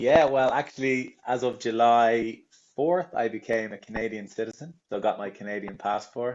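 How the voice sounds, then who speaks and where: In a strong Irish accent, a man talks at a moderate pace with medium pitch and ordinary pitch variation. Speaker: tour company representative. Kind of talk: interview.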